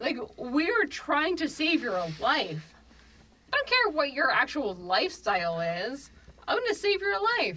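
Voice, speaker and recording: A raised, projected voice with very wide pitch swings cuts through noticeable background noise. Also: woman. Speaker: emergency medicine physician. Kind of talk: casual chat.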